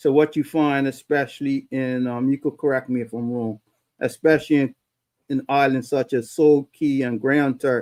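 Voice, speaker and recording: A man speaks at a moderate pace in a fairly high voice with a Bermudian accent and flat, monotone intonation. The recording is very clean and dry, close with no echo, over a silent background. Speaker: talk show host. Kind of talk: casual interview.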